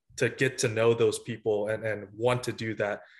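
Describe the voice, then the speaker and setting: Monotone, flat intonation from a somewhat breathy man at medium pitch. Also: quiet background. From United States, moved from Vietnam at six. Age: 20s. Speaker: college volleyball coach. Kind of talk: interview. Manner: halting, with many fillers.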